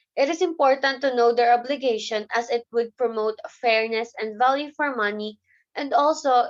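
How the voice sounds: The pace is moderate. Pitch varies in an ordinary way. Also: woman.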